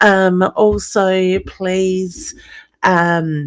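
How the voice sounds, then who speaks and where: A woman with an Australian accent. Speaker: psychic medium. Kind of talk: live stream card readings. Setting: live online stream. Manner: low-energy.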